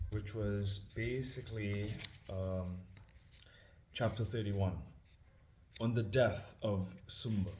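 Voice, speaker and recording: A man's somewhat breathy, fairly low voice at a very slow pace, with fairly even intonation, long, frequent pauses and audible room echo. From Trinidad and Tobago. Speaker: scripture reader and musician. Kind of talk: casual introduction before reading aloud. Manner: hesitant, many fillers.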